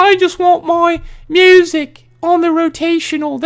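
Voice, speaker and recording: This put-on character voice comes in a British accent at an extremely high pitch. It moves fairly slowly in a flat monotone. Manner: angry, upset.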